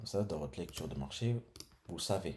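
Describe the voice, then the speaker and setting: A man talks at a fairly quick pace. His tone is dark and mellow, with vocal fry. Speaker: trading educator. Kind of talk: tutorial. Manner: casual, thinking aloud.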